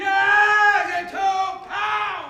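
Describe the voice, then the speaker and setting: A shouted, put-on character voice at an extremely high pitch, with crowd noise in the background. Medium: stage play. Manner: exclamatory.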